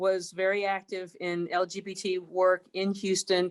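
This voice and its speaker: A woman talks at a medium pitch. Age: 60s. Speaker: university chancellor. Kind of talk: panel discussion. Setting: recorded broadcast.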